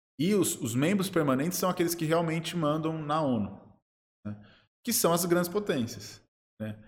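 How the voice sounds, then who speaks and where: A man speaks at a moderate pace with a fairly high pitch and vocal fry. His intonation is lively, broken by long, frequent pauses. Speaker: international relations professor. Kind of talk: interview.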